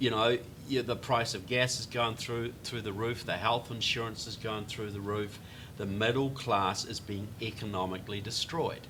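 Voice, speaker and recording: There is audible room echo around this voice. A man talks at a moderate pace in a medium pitch, with fairly even intonation. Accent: New Zealand. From New Zealand, Christchurch. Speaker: author. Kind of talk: political interview discussion. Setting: studio.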